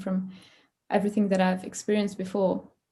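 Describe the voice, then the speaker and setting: Against a quiet background, a woman speaks at a medium pitch in a somewhat breathy, dark, mellow tone with flat, monotone intonation. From France, Paris. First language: French. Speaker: creativity coach and musician. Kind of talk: interview conversation. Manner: halting, many fillers.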